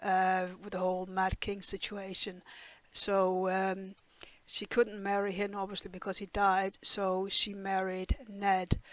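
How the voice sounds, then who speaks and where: A woman with a Danish accent speaks at a medium pitch in a monotone, flat intonation. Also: fairly slow pace. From Denmark. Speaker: TV reaction youtuber. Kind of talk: casual review monologue. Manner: hesitant, many fillers.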